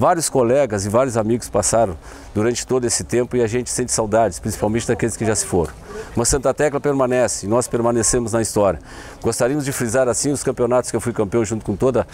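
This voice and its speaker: Very fast male speech, medium in pitch, over noticeable background noise. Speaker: former amateur footballer. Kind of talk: testimony.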